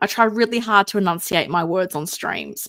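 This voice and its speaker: A woman talks in an Australian accent. Her sound is dry and close with no echo, and the recording is very clean with a silent background. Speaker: live streamer, collectible figure commentator. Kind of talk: casual live stream chat. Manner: mumbling; animated.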